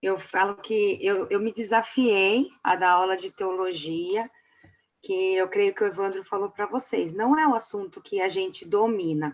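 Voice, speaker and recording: The woman speaks at a fairly slow pace, her medium pitch showing ordinary pitch variation. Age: 30s. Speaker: pastor and theology teacher. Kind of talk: lecture.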